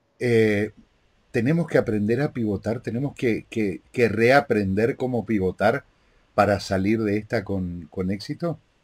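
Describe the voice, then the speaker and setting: The background is quiet. A man with a fairly low pitch speaks at a fairly slow pace. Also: ordinary pitch variation. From Argentina. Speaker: interviewer and live show host; interviewer, live show host. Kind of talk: interview. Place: home room. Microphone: video call.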